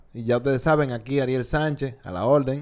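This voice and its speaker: The speaker is a man. He talks with a Dominican accent. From Dominican Republic, Santo Domingo. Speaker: podcast host. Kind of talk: casual chat. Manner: animated.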